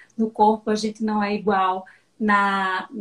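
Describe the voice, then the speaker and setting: Flat and monotone, a woman's fairly high, somewhat breathy voice moves at a moderate pace. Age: 40s. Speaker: digital education mentor. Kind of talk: casual interview. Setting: live video stream.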